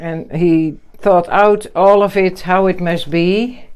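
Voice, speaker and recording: A woman talks with a Dutch accent at a medium pitch. Her intonation is fairly even. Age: 60s. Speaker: pigeon fancier. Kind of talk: casual chat. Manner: halting.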